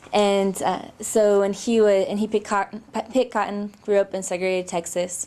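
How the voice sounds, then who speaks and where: With a Pacific Northwest accent, the voice runs at a fairly quick pace in a monotone, flat intonation with hardly any pauses, over noticeable background noise. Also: woman, medium pitch for a woman. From Seattle. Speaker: labor organizer. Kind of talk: oral history interview. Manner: hesitant, many fillers.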